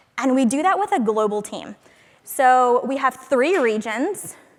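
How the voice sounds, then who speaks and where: This woman's voice is high-pitched. She speaks loudly. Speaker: conference speaker, product marketing manager. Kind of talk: conference talk. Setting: stage with audience.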